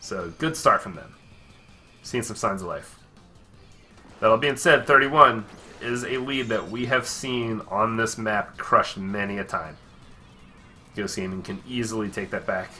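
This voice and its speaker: Over music in the background, a man speaks at a moderate pace with big swings in loudness and long, frequent pauses. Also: medium pitch for a man, ordinary pitch variation. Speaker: esports commentator. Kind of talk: live game play-by-play commentary. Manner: casual.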